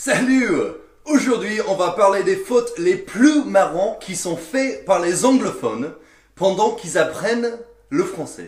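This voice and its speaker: A high-pitched man speaks at a very slow pace with lively intonation. The room echo is audible. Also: big swings in loudness. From English-speaking country. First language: English (speaking French). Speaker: French learner sharing language anecdotes. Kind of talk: casual storytelling. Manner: animated.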